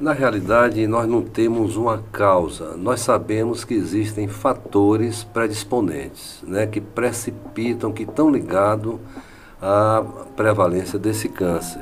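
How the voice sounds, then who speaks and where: A man with a fairly low pitch and ordinary variation speaks fairly slowly, with audible room echo and noticeable background noise. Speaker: physician. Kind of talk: medical interview.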